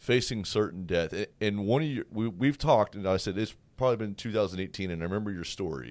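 This man has a normal speaking voice, fairly low in pitch with ordinary pitch variation. He talks at a fairly quick pace on a very clean recording with a silent background. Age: 30s. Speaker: radio host. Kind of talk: interview.

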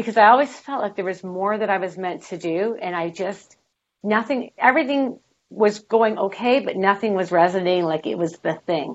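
The clip has a normal speaking voice with ordinary pitch variation. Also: woman, medium pitch for a woman, moderate pace. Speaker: author and inspirational speaker. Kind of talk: interview.

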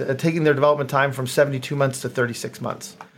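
A man speaks with a fairly high pitch. Noticeable background noise runs under his voice. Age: 50s. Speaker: innovation consultant and entrepreneur. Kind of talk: interview.

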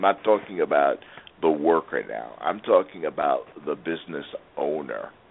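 A man at a moderate pace, with big swings in loudness and noticeable background noise. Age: 60s. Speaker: radio host and business coach. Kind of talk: radio interview. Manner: animated.

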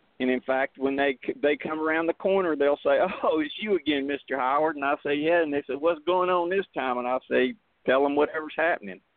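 Here a man with an American accent talks at a fairly high pitch. He moves at a fairly quick pace with ordinary pitch variation. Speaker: veteran advocating on VA issues. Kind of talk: radio interview. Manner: voice rises, loud when agitated.

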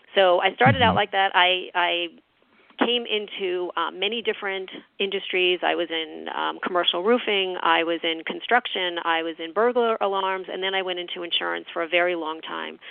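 Talking at a fairly quick pace, a woman with an American accent and medium pitch shows ordinary pitch variation. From New York. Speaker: author and leadership speaker. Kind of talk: interview. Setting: radio show.

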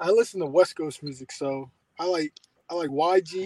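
Dry and close with no echo, a voice with an American accent speaks in a dark, mellow tone with fairly even intonation. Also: man. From Maryland, Columbia (near Baltimore). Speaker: former college quarterback. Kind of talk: interview.

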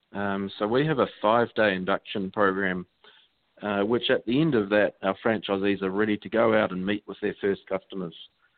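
Speaking at a moderate pace, a man with a fairly low pitch has a strong New Zealand accent. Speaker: franchise co-founder. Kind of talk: interview.

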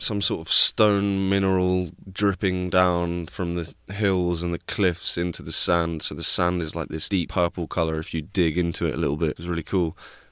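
A man's clear, smooth, fairly bright tone at a low pitch, with little pitch movement and a moderate pace

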